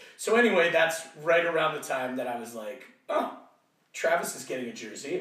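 A man talks at a fairly quick pace with a fairly high pitch and lively intonation. His loudness swings widely, and room echo is audible. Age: 40s. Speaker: soccer fan guest. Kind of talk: casual chat.

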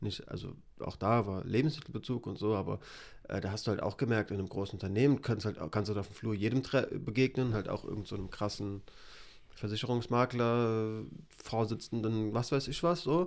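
Very clean recording, silent background. A man speaks at a medium pitch with ordinary pitch variation. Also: fairly quick pace. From Hesse, Germany. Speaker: MMA podcast co-host. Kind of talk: casual chat.

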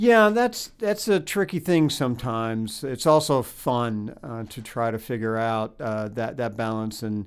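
The background is silent on a very clean recording. A man talks at a medium pitch, varying it in an ordinary way. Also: fairly slow pace. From Florida. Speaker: history professor and author. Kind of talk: interview. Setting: on a university campus. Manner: halting, many fillers and repetitions.

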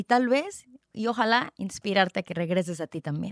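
An animated tone and lively intonation come through at a moderate pace, recorded very cleanly in silence with a dry, close sound and no echo. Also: woman. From Mexico, Tijuana (Baja California). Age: 30s. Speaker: podcast host, health coach. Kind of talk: solo podcast monologue. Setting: recorded on video.

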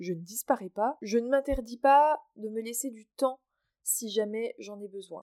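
Her tone is dark and mellow as a woman speaks at a fairly slow pace with ordinary pitch variation. The sound is dry and close, without echo. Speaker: podcaster. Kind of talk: casual monologue. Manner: cheerful.

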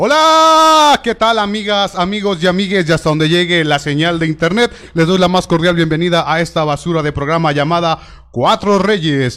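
Here is a man's voice. It is high in pitch with ordinary pitch variation. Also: moderate pace. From Tlaquepaque, Jalisco, Mexico. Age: 30s. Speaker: podcast host, stand-up comedian and impressionist. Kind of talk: casual chat; live show presenting.

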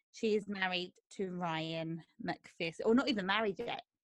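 A woman speaks with a South London accent. The background is quiet. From Croydon, south London, England. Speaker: dog groomer and podcast co-host. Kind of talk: casual chat.

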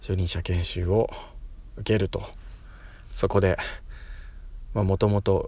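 A man speaking at a very slow pace. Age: 30s. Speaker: podcaster and schoolteacher. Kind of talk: casual monologue. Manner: hesitant, many fillers.

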